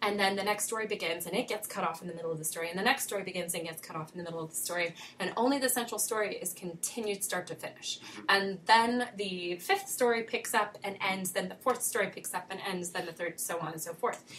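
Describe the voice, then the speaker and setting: In a very fast delivery with hardly any pauses, a woman speaks at a medium pitch with ordinary pitch variation against noticeable background noise. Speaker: podcast co-host. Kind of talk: casual conversation about books and film. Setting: studio.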